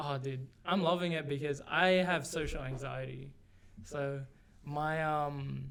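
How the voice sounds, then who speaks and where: Fairly slow speech from a man with a fairly high pitch, in audible room echo. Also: fairly even intonation. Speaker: podcast co-host. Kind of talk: casual chat. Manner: monotone.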